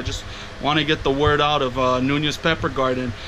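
Here a man talks at a fairly quick pace. There is noticeable background noise. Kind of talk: casual vlog chat. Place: home room. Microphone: phone near.

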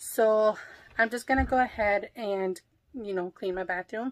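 A woman at a fairly slow pace, medium in pitch, with ordinary pitch variation.

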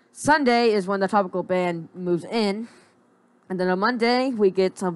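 Medium in pitch with ordinary pitch variation, a woman talks at a moderate pace. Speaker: weather forecaster. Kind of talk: weather report. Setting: screen-recorded video commentary. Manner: informal, conversational, unscripted; halting, with fillers and repeated words.

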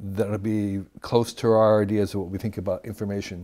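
Against a quiet background, a man speaks with a fairly low pitch and a dark, mellow tone. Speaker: interview guest. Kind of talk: interview answer. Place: office. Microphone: lapel.

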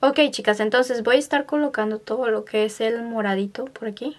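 A woman's fairly high voice with fairly even intonation at a fairly quick pace.

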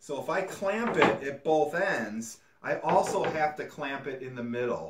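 The speaker moves at a fairly slow pace. Loud background noise sits behind the voice. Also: man. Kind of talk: tutorial. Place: workshop. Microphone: camera far.

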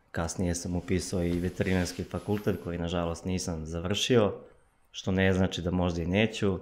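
A man talks in a very deep, low pitch. His intonation is monotone and flat. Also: moderate pace. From eastern Serbia, village near Golubac; Serbia. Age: 20s. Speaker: runner, athlete; podcast guest. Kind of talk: casual interview. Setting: studio. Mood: calm, reflective. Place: studio. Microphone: studio mic.

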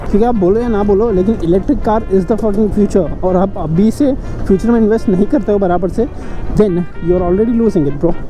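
Normal rises and falls in pitch, very even volume, a fairly brisk pace, and clear music playing behind. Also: woman. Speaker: vlogger riding a motorbike. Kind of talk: casual vlog chat. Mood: cheerful, laughing. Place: motorbike. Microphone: helmet.

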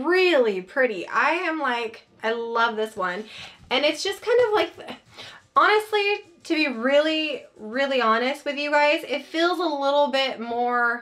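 Her pitch high and swinging very widely, a woman speaks at a fairly slow pace with a bright, sharp tone. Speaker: haul vlogger. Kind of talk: casual vlog chat. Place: home room.

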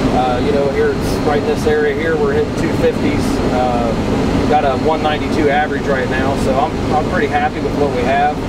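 Loud background noise surrounds a man whose voice has ordinary pitch variation and a dry sound with no echo. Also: moderate pace. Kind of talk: interview answer. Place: farm machine. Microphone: camera far.

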